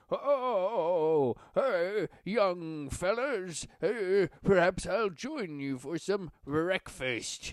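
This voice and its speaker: In a put-on character voice of middle pitch, the speaker goes very slowly against a quiet background. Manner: exaggerated, phony.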